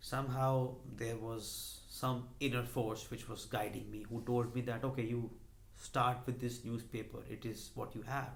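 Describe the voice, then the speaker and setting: A man speaks in an Indian accent with monotone, flat intonation. His voice is somewhat breathy, and room echo is audible. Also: medium pitch for a man, fairly slow pace. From India, Delhi. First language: Hindi. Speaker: YouTuber, finance and motivation channel. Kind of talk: personal vlog monologue. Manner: hesitant with many fillers.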